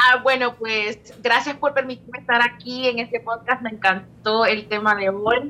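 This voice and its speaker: A woman talks at a fairly slow pace. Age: 20s. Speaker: bachata singer. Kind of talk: casual chat. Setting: studio.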